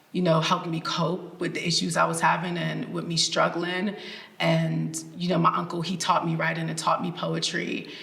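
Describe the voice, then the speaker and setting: Heard over noticeable background noise and audible room echo, a woman with an American accent speaks at a moderate pace. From Maryland, US, Jamaican family. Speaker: writer and director. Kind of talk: interview. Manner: animated.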